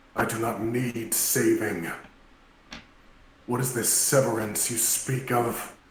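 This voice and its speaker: At a fairly slow pace, a man does a put-on character voice at a medium pitch, with a slight echo. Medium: actual play. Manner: firm, formal.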